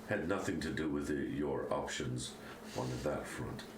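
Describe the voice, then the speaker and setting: A man's put-on character voice at a moderate pace, slight echo, loud background noise. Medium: actual play. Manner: sardonic, cutting.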